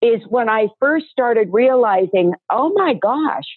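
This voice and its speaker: The speaker is a woman with a fairly high voice. Her pitch swings very widely. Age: 60s. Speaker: supplement industry entrepreneur. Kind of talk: interview, personal testimony.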